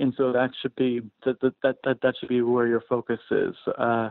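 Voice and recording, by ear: A man speaks with vocal fry. The sound is dry and close, with no echo.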